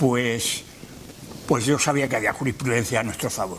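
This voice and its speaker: Noticeable surrounding noise behind a man's fairly quick speech. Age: 70s. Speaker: retired university rector. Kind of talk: lecture. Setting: lecture hall with audience. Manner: halting.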